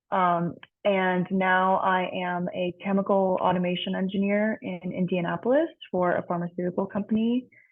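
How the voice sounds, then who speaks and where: A woman speaks with fairly even intonation at a medium pitch. It is a normal speaking voice. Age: 20s. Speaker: chemical engineer. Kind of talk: panel introduction. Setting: video call.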